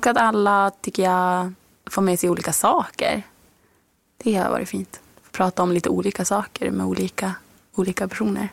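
This woman has a medium pitch. She talks at a moderate pace. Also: dry, close sound with no echo. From Norrbotten, northern Sweden. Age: 20s. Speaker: author. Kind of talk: interview.

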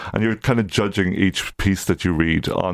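A man with an Irish accent at a moderate pace, in a dry, close sound with no echo. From Ireland, County Louth. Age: 50s. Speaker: literary magazine publisher. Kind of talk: radio interview. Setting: studio. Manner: halting.

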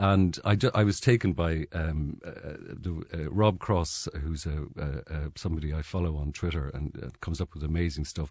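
A man's very deep, low voice, somewhat breathy, at a moderate pace with hardly any pauses and ordinary pitch variation, against a quiet background. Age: 60s. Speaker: journalist. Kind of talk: radio panel discussion. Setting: studio.

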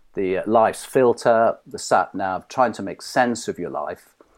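Fairly low in pitch, a man speaks with a British accent on a very clean recording with a silent background. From Britain. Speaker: mind coach. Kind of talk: interview.

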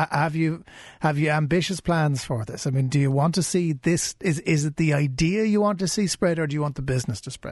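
Speaking at a fairly quick pace, a man with a Cork accent has a fairly high voice. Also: ordinary pitch variation. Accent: Cork Irish. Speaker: radio business podcast host. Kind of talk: interview.

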